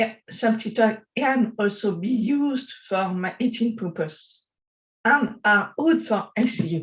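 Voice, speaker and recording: A woman with a fairly high pitch speaks at a very slow pace, her voice somewhat breathy. Her pitch varies in an ordinary way while her loudness swings widely. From France. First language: French. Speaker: software developer and accessibility advocate. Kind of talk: conference talk. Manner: halting.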